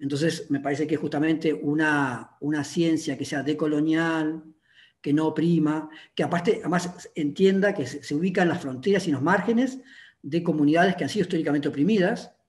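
A man at a fairly quick pace, with ordinary pitch variation, against a quiet background. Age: 50s. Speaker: linguistics professor and researcher; linguistics professor. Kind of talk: academic conversation. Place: home room. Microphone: video call.

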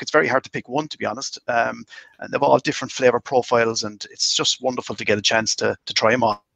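In a Cork accent, the speaker talks at a very fast pace with big swings in loudness, the sound dry with no echo over a quiet background. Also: man. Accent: Irish (Cork). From Ireland, County Cork (Mitchellstown); County Cork, Ireland. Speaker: master distiller; guest. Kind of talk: casual interview chat. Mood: warm, enthusiastic. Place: home room. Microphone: video call.

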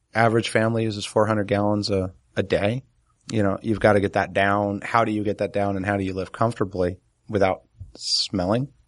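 A man with a New Jersey accent talks at a fairly quick pace and a fairly low pitch. His intonation is monotone and flat, and the background is quiet. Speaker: podcast co-host, homesteader. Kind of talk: casual chat.

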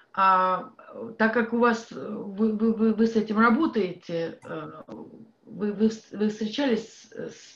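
Somewhat breathy, a woman with a Russian accent talks at a medium pitch and a fairly slow pace against a quiet background. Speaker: audience member. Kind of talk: audience question. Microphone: video call.

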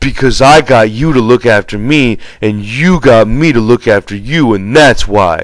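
Delivered in a natural reading voice, the speech has lively intonation.

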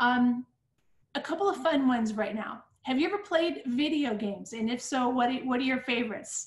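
A woman talks at a fairly quick pace and high pitch with lively intonation. Audible room echo fills the recording. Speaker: interviewer and school host; school interviewer host. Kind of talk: interview. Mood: warm, upbeat, grateful. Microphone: video call.

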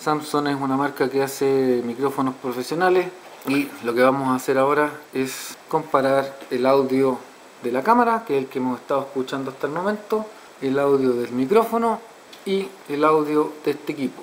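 Light background noise sits under a man's voice. He keeps a moderate pace with ordinary pitch variation. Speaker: product reviewer. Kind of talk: product review tutorial. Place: home room. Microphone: camera far.

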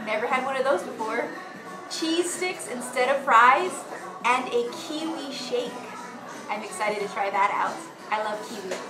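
Clear music plays in the background as a woman with a high voice speaks with long, frequent pauses. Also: moderate pace. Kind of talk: casual vlog chat. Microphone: phone near.

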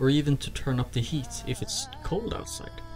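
At a fairly slow pace, a man with a Swedish accent speaks over music in the background. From Sweden. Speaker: student applicant. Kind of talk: presentation voice-over narration.

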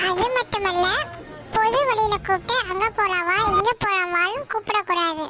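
Over music in the background, a woman does a cartoonish character voice at an extremely high pitch and a very slow pace.

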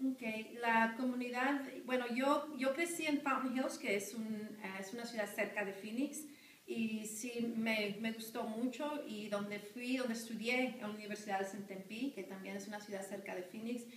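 With audible room echo, a woman speaks at a fairly slow pace and a fairly high pitch, her pitch varying in an ordinary way. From Arizona, Phoenix area (moved from Sinaloa, Mexico at 10). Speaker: high school teacher. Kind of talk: interview. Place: classroom. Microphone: camera far.

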